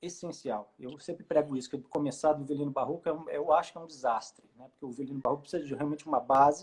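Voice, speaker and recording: This man has a fairly high pitch. He speaks with a slight mineiro accent. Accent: mild Minas Gerais accent, close to Rio. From Brazil, Juiz de Fora (Minas Gerais). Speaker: baroque violinist and educator. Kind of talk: casual interview chat. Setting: Instagram live video call. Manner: hesitant, many fillers.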